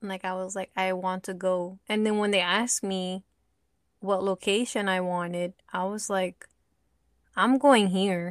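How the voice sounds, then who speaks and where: A soft-spoken woman at a medium pitch, with fairly even intonation, a fairly slow pace, and a dry, close sound with no echo. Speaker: podcast co-host. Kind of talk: casual chat.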